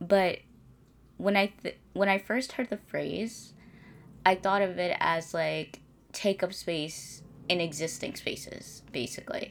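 The voice carries vocal fry and moves at a fairly slow pace, with long, frequent pauses. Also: woman, medium pitch for a woman, ordinary pitch variation. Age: 20s. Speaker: podcast host, college student. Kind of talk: casual solo monologue. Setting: home recording in bedroom.

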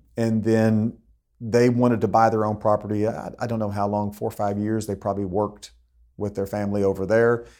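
Recorded very cleanly against a silent background, a man talks with a Texan accent at a fairly quick pace. His pitch is fairly low and his intonation is monotone and flat. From Texas (Austin). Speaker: ranch real estate broker. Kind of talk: interview.

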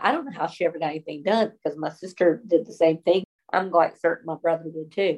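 Fairly quick, fairly low-pitched speech from a woman with a Southern US accent. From US South. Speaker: pastor's wife. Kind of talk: casual chat.

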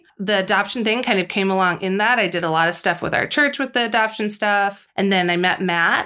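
A woman talks at a fairly quick pace with hardly any pauses, her pitch medium and its variation ordinary. The recording is very clean with a silent background, and her loudness stays very even. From US Midwest, St. Louis, Missouri. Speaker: stay-at-home mother. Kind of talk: casual interview.

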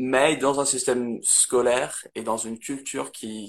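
A man with a slight English accent speaks at medium pitch with fairly even intonation. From northern England, Manchester area. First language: English (speaking French). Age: 20s. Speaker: English teacher. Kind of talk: casual interview. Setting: Instagram live video. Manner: halting.

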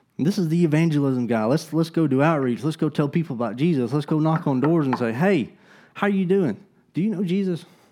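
A man speaks very fast with an Alabama accent, his voice fairly high with a dark, mellow tone. His loudness is very even and his pitch varies in an ordinary way, against a quiet background. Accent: Southern US (Alabama). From US South, Alabama (Gadsden). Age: young. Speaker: pastor. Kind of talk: sermon. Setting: church.

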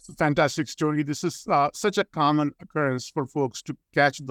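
A man with an unremarkable speaking voice talks at a moderate pace, pitched fairly high. The sound is dry and close with no echo, on a very clean recording with a silent background. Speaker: podcast host, airport CEO. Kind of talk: interview. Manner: formal.

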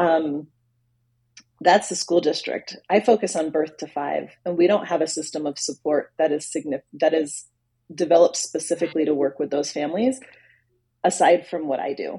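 Dark and mellow in tone, a woman with an American accent speaks in a very deep, low pitch with ordinary pitch variation. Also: moderate pace. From US Northeast. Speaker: bilingual speech pathologist. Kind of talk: interview.

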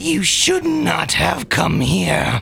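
In a put-on character voice, a man speaks at a very slow pace over clear background noise. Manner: growling, menacing, threatening.

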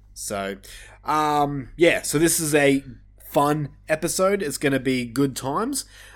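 In an Australian accent, a man speaks at a fairly slow pace with a fairly high pitch and ordinary pitch variation on a very clean recording with a silent background. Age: 30s. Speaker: podcast host. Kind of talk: casual chat.

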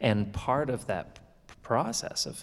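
Audible room echo surrounds a man as he speaks. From Canadian prairies. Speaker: concert violinist. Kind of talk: onstage interview. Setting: stage with audience.

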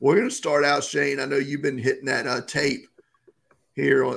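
A man with a medium pitch speaks with vocal fry. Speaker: football draft podcast co-host. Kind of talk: casual podcast chat. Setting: podcast recording.

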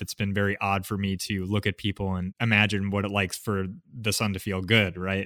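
Speaking fairly quickly with an American accent, a man uses a fairly low voice. The recording is very clean and dry, close and echo-free, with a silent background. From US Northeast, Connecticut. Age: 30s. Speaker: medical student with a rare disease. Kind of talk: interview. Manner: calm.

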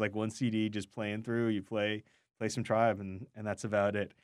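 At a fairly quick pace, an unremarkable speaking voice comes through on a very clean recording with a silent background. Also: man. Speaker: radio food show co-host. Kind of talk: casual radio chat. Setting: studio.

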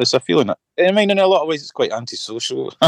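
A man with a Scottish accent at a very fast pace, lively intonation, dry, close sound with no echo. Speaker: singer-songwriter and guitarist. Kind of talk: casual chat.

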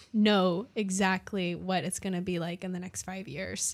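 A woman's plain, everyday voice, medium in pitch, at a fairly slow pace, in a very clean recording with a silent background. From Canada. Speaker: student podcast co-host. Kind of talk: casual chat.

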